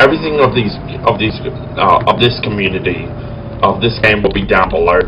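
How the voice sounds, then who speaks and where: With an Australian accent, a man speaks at a fairly quick pace over noticeable background noise. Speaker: gaming YouTuber. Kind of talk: gameplay commentary. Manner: halting.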